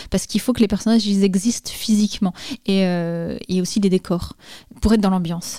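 At a fairly quick pace, a woman of medium pitch speaks in a dark, mellow tone with fairly even intonation. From France, Jura (Dole). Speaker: comics author and illustrator. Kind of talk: interview. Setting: home studio (her bedroom). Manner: hesitant, many repetitions.

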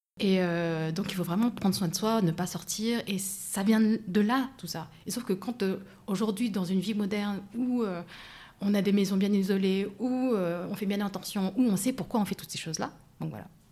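A woman's somewhat breathy voice with a dark, mellow tone, medium pitch, fairly even intonation and a moderate pace. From France. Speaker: life coach. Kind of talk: casual interview. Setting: in person.

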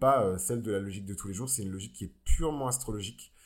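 Very fast, somewhat breathy delivery from a man, ordinary pitch variation, very clean recording with a silent background. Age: 20s. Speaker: astrology podcaster. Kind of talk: solo podcast monologue. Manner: hesitant, many fillers.

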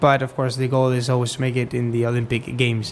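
Noticeable background noise fills the clip. The talking comes at a fairly quick pace. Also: man. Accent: Spanish. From Spain. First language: Spanish. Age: 20s. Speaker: dressage rider. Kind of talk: interview. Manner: halting.

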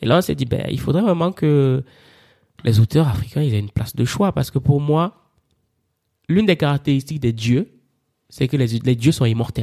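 In a very clean recording with a silent background, a man at medium pitch speaks at a moderate pace, somewhat breathy, with long, frequent pauses. His intonation is lively and his tone animated. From Cameroon, Yaoundé. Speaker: publisher and author. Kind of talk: interview.

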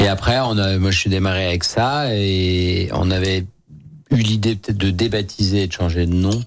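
At a moderate pace, a man speaks in a very deep, low pitch, with fairly even intonation and very even loudness. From Lyon, France. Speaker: chef and restaurant owner. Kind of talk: casual radio interview. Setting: radio studio.

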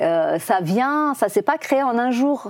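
In a Persian accent, a woman speaks with a dark, mellow tone. Her intonation is lively. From Iran. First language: Persian (speaking French). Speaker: film director. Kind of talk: interview. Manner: halting.

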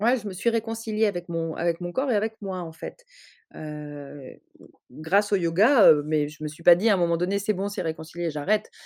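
A woman with a fairly low pitch speaks at a moderate pace with ordinary pitch variation. Her loudness swings widely. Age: 30s. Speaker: writer. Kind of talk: testimony. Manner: halting, many repetitions and hesitations.

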